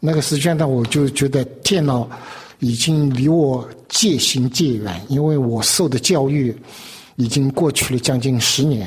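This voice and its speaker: The speaker talks at a fairly slow pace with a somewhat breathy quality. Loudness stays very even throughout. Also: man, medium pitch for a man, ordinary pitch variation. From China. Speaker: artist. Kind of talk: interview. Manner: halting.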